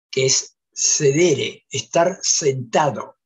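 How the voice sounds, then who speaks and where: A man speaks against a quiet background. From Santa Fe, Argentina. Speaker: panelist. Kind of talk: academic talk. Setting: video call. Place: home room. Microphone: video call.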